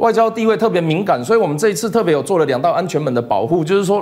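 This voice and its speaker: A man talks at a very fast pace in a Taiwanese accent. His pitch is high and his intonation lively. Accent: Taiwanese Mandarin. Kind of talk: TV political talk show discussion. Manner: repetitive fillers and self-corrections.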